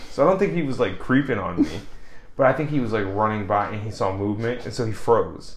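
Audible room echo surrounds a fairly quick, animated delivery with ordinary pitch variation. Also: man. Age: 20s. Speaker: podcast co-host. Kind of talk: casual chat.

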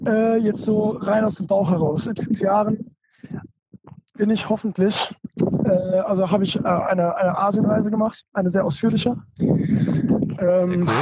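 The delivery is fairly even in intonation at a moderate pace. Long, frequent pauses break up the speech. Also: man, high pitch for a man. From Germany. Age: young. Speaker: photographer and filmmaker. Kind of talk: casual chat.

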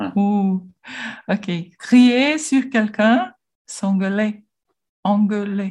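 At a very slow pace with long, frequent pauses, a woman with a Portuguese accent speaks in a fairly high, somewhat breathy voice with ordinary pitch variation. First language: Portuguese (speaking French). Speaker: language learner. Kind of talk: language lesson conversation. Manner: halting.

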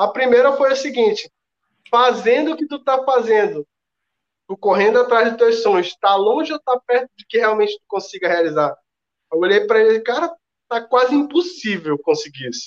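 At a moderate pace, a man speaks with lively intonation at an extremely high pitch. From Ceará, Brazil. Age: 30s. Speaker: network marketing entrepreneur. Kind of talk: interview.

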